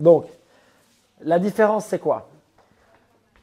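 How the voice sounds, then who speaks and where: A man speaks in a strong Liège accent. His tone is dark and mellow. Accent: strong Liège Belgian French. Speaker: CrossFit coach. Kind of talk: coaching session. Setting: gym.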